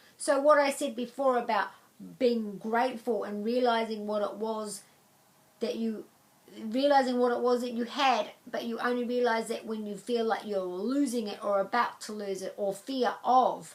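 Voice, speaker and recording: Intonation stays fairly even in a normal speaking voice. Its tempo is moderate. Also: woman, fairly high pitch for a woman. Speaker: psychic angel card reader. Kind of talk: angel card reading to camera.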